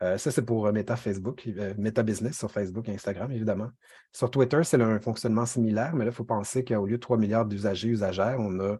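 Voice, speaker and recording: A man's dark, mellow voice at a very fast pace, with fairly even intonation. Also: fairly low pitch for a man. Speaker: workshop trainer, communications officer. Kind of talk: online training lecture. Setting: video call, screen sharing. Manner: hesitant, many fillers.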